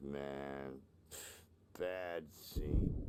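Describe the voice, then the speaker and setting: Going very deep and low, a man performs a put-on character voice. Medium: video game.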